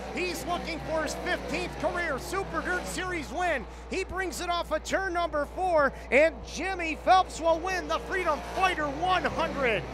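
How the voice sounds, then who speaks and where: The speaker sounds excited, talking at a fairly slow pace. Music plays in the background. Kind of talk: live race commentary. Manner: loud, excited, crowd-pleasing finish.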